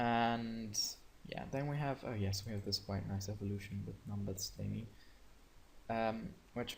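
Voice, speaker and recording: In a non-native accent, a man speaks at a fairly slow pace with a fairly low pitch and a somewhat breathy voice. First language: not English. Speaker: gaming youtuber. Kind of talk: screen-share tutorial. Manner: hesitant, many fillers; casual.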